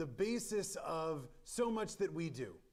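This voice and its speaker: A man speaks loudly. There is audible room echo. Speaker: rabbi. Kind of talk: Torah study lecture. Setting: synagogue chapel with live stream. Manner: halting, many fillers.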